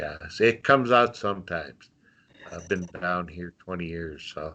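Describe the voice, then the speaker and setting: With a slight North Dakota accent, a man speaks at a moderate pace in a very deep, low pitch, his tone bright and sharp, his pitch varying in an ordinary way and his loudness swinging widely. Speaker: volunteer, mental health practitioner. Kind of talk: casual interview. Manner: halting, many fillers.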